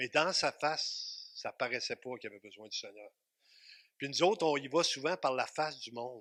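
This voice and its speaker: In a very clean recording with a silent background, a man speaks with a Quebec accent at a moderate pace. His fairly high voice is bright and sharp, with ordinary pitch variation and a dry, close sound with no echo. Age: 60s. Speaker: pastor. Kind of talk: sermon. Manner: animated.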